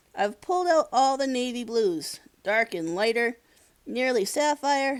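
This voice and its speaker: In a put-on character voice, a female-sounding speaker uses a high pitch at a moderate pace. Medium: read story.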